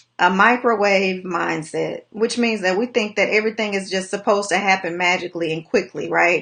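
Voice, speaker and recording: Her bright, sharp tone carries fairly even intonation as the woman talks at a fairly quick pace with hardly any pauses. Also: medium pitch for a woman. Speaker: life coach. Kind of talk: motivational livestream talk. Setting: live video stream. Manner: fast.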